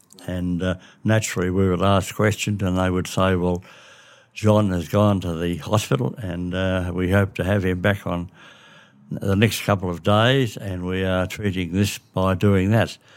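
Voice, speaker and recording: A man with a very deep, low pitch talks at a moderate pace with fairly even intonation. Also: very clean recording, silent background. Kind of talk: casual family conversation.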